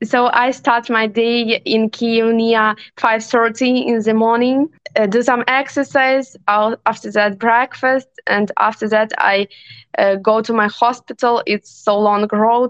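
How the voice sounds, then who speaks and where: A woman's fairly high voice at a very slow pace, with very even loudness, fairly even intonation and a dry, close sound with no echo. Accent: Ukrainian. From Western Ukraine, Ivano-Frankivsk. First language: Ukrainian. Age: 20s. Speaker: neurologist, war refugee. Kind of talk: interview testimony. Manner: halting.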